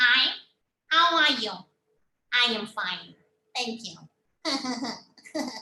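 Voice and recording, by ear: In a put-on character voice, a female-sounding speaker goes very slowly in a high, nasal tone, with long, frequent pauses.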